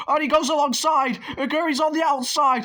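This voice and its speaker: An excited, animated tone at a moderate pace over noticeable background noise. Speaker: sim racing league commentator. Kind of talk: live commentary.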